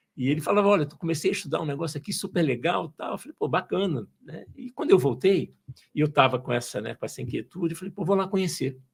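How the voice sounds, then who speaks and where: Very fast and with lively intonation, a man rattles through his words. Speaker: engineer turned entrepreneur, logosophy student. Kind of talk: podcast interview. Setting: studio. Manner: hesitant, repeats words.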